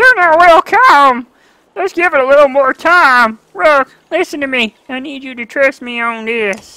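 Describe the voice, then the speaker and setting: In a put-on character voice, a woman speaks at a high pitch and moderate pace with lively intonation and big swings in loudness, in a dry, close sound with no echo. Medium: game stream. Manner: hesitant, searching for words.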